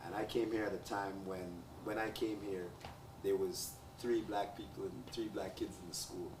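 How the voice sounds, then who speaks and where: Noticeable background noise and audible room echo surround a man with a fairly low pitch. He speaks with fairly even intonation and long, frequent pauses. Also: moderate pace. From Jamaica. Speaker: talk show host. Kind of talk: panel discussion.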